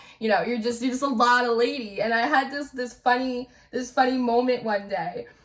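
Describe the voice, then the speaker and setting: Loud and animated, a woman with a New Jersey accent talks at a moderate pace in a high pitch. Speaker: tarot reader. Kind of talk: spiritual reading monologue.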